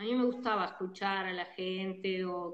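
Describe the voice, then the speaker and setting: A woman speaks at a fairly slow pace in a normal speaking voice, medium in pitch with fairly even intonation. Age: 60s. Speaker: psychologist. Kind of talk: interview.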